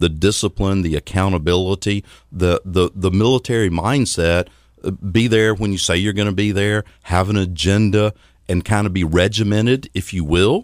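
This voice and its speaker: A man's fairly low voice with a Southern US accent and fairly even intonation, dry and close with no echo, on a very clean recording over a silent background. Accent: Southern US (Georgia). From US South, Athens, Georgia. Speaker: financial services consultant. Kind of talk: radio interview. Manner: fast.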